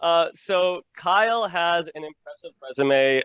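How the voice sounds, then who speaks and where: The voice belongs to a man with an American accent. He speaks with lively intonation. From Illinois. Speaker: podcast host. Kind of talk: podcast interview.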